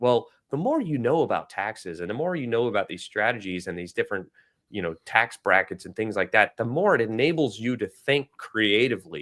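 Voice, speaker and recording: The tone is animated. The recording is very clean, with a silent background. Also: man. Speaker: real estate investor podcast co-host. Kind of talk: casual chat. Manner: fast.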